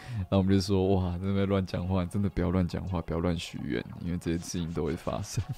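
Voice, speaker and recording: Very fast speech with hardly any pauses, fairly even intonation, and noticeable background noise. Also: man, very deep, low pitch for a man. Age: 20s. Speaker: musician and live radio host. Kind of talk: casual live-stream chat. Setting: solo live stream with background music. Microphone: mic too quiet at start.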